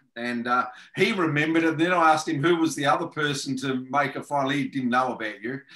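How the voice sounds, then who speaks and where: This man speaks very fast with an Australian accent, his pitch fairly high and its variation ordinary. The background is quiet. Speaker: podcast host. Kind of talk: interview. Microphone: video call.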